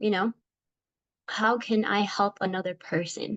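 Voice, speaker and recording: Recorded dry and close with no echo, a woman talks at a fairly slow pace. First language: Spanish. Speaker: teacher. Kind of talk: class presentation. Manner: casual, many fillers (um, like).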